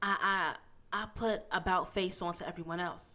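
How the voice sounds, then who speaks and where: Her tone comes across bright and sharp. The woman speaks in an American accent. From Pittsburgh, Pennsylvania. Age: 20s. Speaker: podcast co-host. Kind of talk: casual chat.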